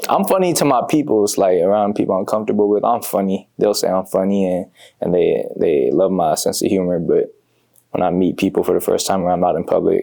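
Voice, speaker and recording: Here a man speaks at a fairly quick pace. His loudness stays very even. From Bay Area, California (Fairfield). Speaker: comedian. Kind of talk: casual interview.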